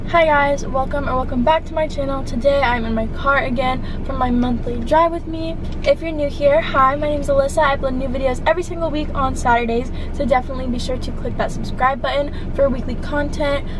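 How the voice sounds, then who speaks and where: A woman talks at a fairly quick pace with hardly any pauses, her high pitch set to a fairly even intonation. The sound is dry with no echo, and noticeable background noise comes through. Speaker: vlogger. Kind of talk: casual vlog chat. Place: car. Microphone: phone near.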